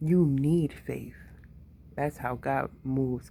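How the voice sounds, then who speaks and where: The woman's pitch is very deep and low. It varies in an ordinary way. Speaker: podcaster. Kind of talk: casual monologue. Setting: at home, late at night. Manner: casual, frequent fillers.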